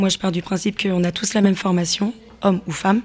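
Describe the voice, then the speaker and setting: Monotone, flat delivery at a fairly quick pace. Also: woman. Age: 20s. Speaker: football referee. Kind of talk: interview.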